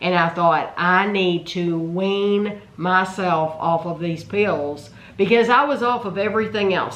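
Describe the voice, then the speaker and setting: Against noticeable background noise, a woman talks at a fairly slow pace with hardly any pauses and ordinary pitch variation. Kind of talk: casual Q&A talk to camera.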